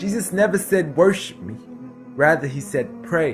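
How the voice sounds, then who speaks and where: Music plays in the background as a man speaks. His pace is moderate and his intonation lively. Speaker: spoken word poet. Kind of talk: spoken word poetry performance.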